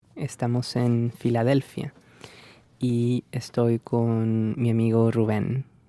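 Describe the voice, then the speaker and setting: A man talks at a very slow pace in a dark, mellow tone. His intonation is monotone and flat, and the sound is dry and close with no echo. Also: medium pitch for a man. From Peru. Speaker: university language teacher. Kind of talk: casual chat.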